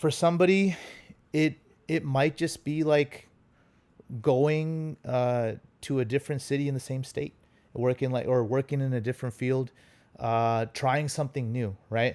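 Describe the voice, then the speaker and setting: In a Punjabi accent, a man speaks at a moderate pace with a medium pitch, ordinary pitch variation and long, frequent pauses, on a very clean recording with a silent background. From US, Los Angeles (born in India, moved as small child). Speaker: consultant, relationship guest. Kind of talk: casual interview chat.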